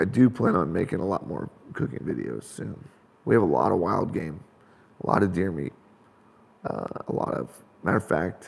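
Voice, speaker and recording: A man with a very deep, low pitch and vocal fry speaks at a moderate pace, using very wide pitch swings and long, frequent pauses. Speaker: outdoors channel host. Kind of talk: live stream Q&A chat. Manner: casual, halting.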